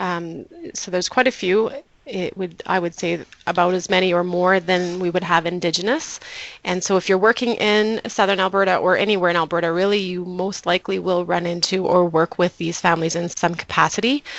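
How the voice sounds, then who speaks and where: Fairly quick, fairly even speech from a woman at medium pitch. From Canada (moved from Mexico at age four). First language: Low German. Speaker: community health worker and interpreter. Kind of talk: presentation. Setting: webinar.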